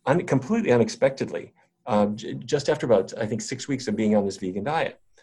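A man's voice is somewhat breathy, with very wide pitch swings. He keeps a moderate pace. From North Dakota. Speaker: physician and researcher. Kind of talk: interview.

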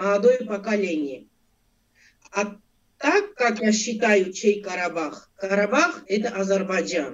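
A woman with an Armenian accent, medium in pitch, speaking at a fairly slow pace with lively intonation. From Armenia, Abovyan. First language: Armenian (speaking Russian). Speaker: interview guest. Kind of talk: interview.

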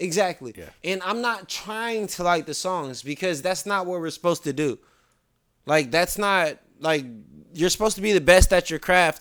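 The recording is very clean, with a silent background. A man with a high pitch talks at a moderate pace with ordinary pitch variation. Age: 30s. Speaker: podcast guest. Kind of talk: casual chat.

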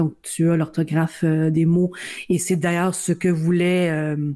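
A woman's fairly low, dark and mellow voice at a fairly slow pace. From Ontario, Niagara peninsula (Welland). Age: 40s. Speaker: blind university employee and advocate. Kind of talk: interview.

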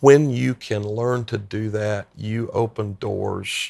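A man with an American accent speaks at a fairly low pitch, somewhat breathy. The recording is very clean, with a silent background. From US South, upstate South Carolina (Greenville-Spartanburg). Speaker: pastor. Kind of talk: interview conversation. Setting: in person at a conference.

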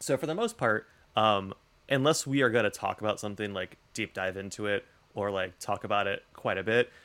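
With an unremarkable speaking voice and an American accent, the speaker talks at a fairly quick pace with lively intonation. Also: man. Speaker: podcast host. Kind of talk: casual chat. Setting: remote recording.

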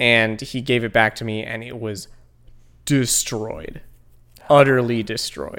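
Someone speaks at a fairly slow pace with a Midwestern American accent. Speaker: podcast co-host. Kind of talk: casual comedic chat reviewing a video. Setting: studio.

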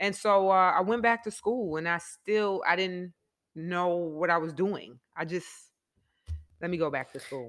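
A woman with a New York accent speaks at a fairly low pitch and a fairly slow pace, leaving long, frequent pauses. Her pitch variation is ordinary, and the recording is very clean with a silent background. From New York, the Bronx. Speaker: former basketball player, school counselor and coach. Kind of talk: casual chat.

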